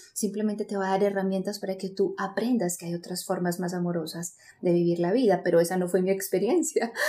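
A woman's medium-pitched voice with a dark, mellow tone, fairly quick delivery, fairly even intonation and hardly any pauses. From Colombia, Medellín. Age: 30s. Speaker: psychologist and speaker. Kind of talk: interview.

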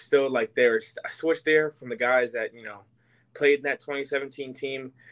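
A man with an American accent talks at a moderate pace in an ordinary speaking voice, medium in pitch, with fairly even intonation. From New York area, later Tampa. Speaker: former college football player. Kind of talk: interview.

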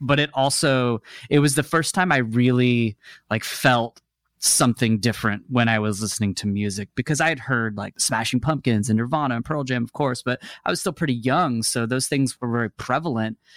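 In an American accent, a man with a normal speaking voice talks at a fairly quick pace with ordinary pitch variation, the sound dry and close with no echo on a very clean recording with a silent background. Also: medium pitch for a man. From Texas (Dallas area), then Seattle from about age ten. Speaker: musician, guitarist. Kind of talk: casual interview chat.

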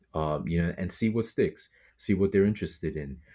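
A man with a New York accent and a dark, mellow tone comes through on a very clean recording with a silent background. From New York City, Brooklyn. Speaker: bow hunter and podcaster. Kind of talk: casual interview.

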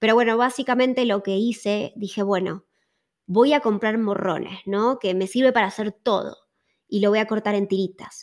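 An unremarkable speaking voice, a woman's with fairly high pitch and fairly even intonation, comes through a very clean recording with a silent background. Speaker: podcast co-host. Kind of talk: casual chat.

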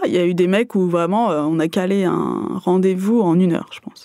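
Her tone dark and mellow, a woman talks at a fairly slow pace in a fairly low pitch with ordinary pitch variation. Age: 30s. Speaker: Tinder user sharing experience. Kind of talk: casual chat. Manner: halting.

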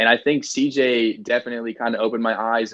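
A man talks at a fairly quick pace in a medium pitch with fairly even intonation. His is an unremarkable speaking voice. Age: 20s. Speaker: reality TV star guest. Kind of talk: casual interview chat. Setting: video call from childhood bedroom.

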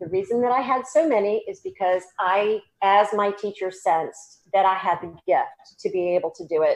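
At a moderate pace, a woman with a Southern US accent speaks at a medium pitch with ordinary pitch variation. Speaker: psychic medium and energy healer. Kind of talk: interview.

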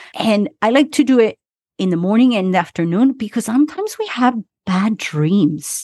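A woman with a slight Argentine accent, fairly high-pitched and animated, at a moderate pace with very wide pitch swings, in a dry, close sound with no echo. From Argentina. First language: Spanish. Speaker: relationship coach and breathwork facilitator. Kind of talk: casual interview chat. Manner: animated, laughs often.

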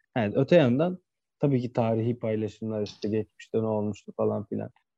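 In a dry, close recording with no echo, a man with a dark, mellow tone talks at a moderate pace. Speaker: football podcast co-host. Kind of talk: casual chat.

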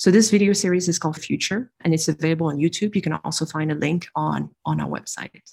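A woman with a French accent speaks at a fairly low pitch, with vocal fry. Her pace is moderate and her pitch variation ordinary. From France. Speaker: industrial designer. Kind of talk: interview.

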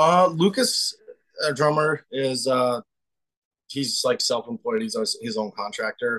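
In a slight North Dakota accent, a man speaks fairly slowly at a fairly high pitch with very wide pitch swings, a bright, sharp tone and long, frequent pauses, in a dry, close sound with no echo. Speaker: band guitarist. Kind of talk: casual interview. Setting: video call from parents' home.

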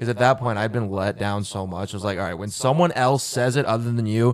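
A man with an American accent talks fairly quickly in an ordinary speaking voice. His pitch is fairly low, with ordinary variation. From US South. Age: 20s. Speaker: rock band member. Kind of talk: casual chat.

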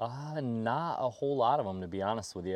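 A man with an unremarkable speaking voice, a moderate pace and ordinary pitch variation. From southwestern New York. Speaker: public land hunter and filmmaker. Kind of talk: casual interview. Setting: outdoors.

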